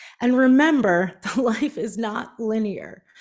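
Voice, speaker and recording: A woman with a Canadian accent has a normal speaking voice, fairly high in pitch, with lively intonation. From Canada, Prince Edward Island. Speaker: business strategist and author. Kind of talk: keynote talk.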